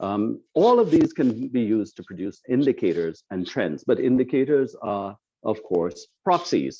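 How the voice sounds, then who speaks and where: A man with a Trinidadian accent speaks with very wide pitch swings. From Trinidad and Tobago. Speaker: climate scientist. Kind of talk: lecture.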